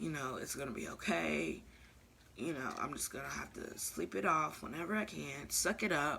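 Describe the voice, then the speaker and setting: A soft-spoken woman with a very deep, low pitch and vocal fry speaks at a moderate pace, her bright, sharp tone swinging very widely in pitch. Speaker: vlogger. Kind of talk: casual vlog monologue.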